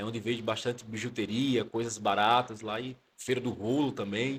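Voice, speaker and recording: A man speaks with a Pernambuco accent. His intonation is monotone and flat. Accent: Northeastern Brazilian (Pernambuco). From Pernambuco, Brazilian Northeast (Caruaru). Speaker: theology student and pastor. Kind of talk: casual interview chat.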